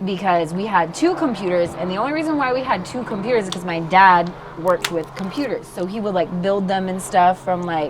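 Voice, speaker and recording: With noticeable background noise and audible room echo, a woman speaks at a medium pitch. Her intonation is lively and her pace fairly quick. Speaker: podcast host. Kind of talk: casual chat. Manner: loud; animated.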